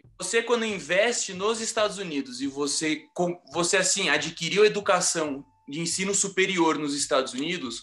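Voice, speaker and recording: Over music in the background, a man talks with lively intonation. His high voice keeps a moderate pace. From Rio de Janeiro, Brazil. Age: 30s. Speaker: architect and construction project manager. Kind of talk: interview answer.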